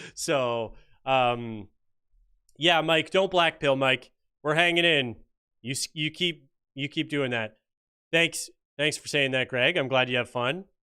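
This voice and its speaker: Leaving long, frequent pauses, a man with a Canadian accent and fairly high pitch talks at a fairly slow pace with ordinary pitch variation. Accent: mild Canadian, sounds fairly American. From Canada, Ontario. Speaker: political commentary YouTuber. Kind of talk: livestream chat reading viewer comments. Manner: casual, joking.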